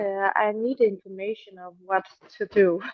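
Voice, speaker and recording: Speaking with a non-native accent, a woman keeps a monotone, flat intonation at medium pitch and a very slow pace. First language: not English. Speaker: patient participant. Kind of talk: personal testimony. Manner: halting.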